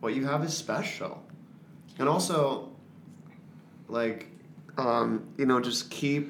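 A man with an American accent speaks at a medium pitch and a very slow pace, with ordinary pitch variation. Long, frequent pauses break up his speech, and the room echo is audible. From Florida. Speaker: musical theater actor. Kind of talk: casual interview.

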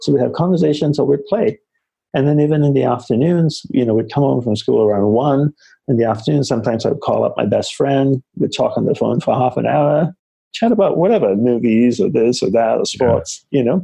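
A man speaks at a fairly quick pace with lively intonation, a somewhat breathy quality and very even loudness. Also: fairly high pitch for a man. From Malaysia and Australia. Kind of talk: interview conversation.

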